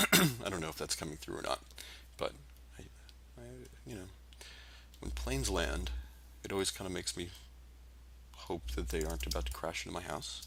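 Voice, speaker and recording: A man's mumbling, very deep voice with vocal fry and a bright, sharp tone, at a fairly quick pace with lively intonation and long, frequent pauses. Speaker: vector artist live-streaming drawing. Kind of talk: live-stream drawing commentary. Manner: mumbling to self; rambling, hesitant with fillers.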